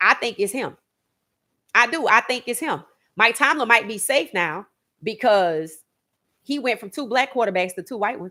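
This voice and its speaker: A woman's animated, bright, sharp voice at a moderate pace, lively in intonation, with big swings in loudness and long, frequent pauses, in a very clean recording with a silent background. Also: fairly high pitch for a woman. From Louisiana, New Orleans. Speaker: sports podcast host. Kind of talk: opinionated livestream commentary.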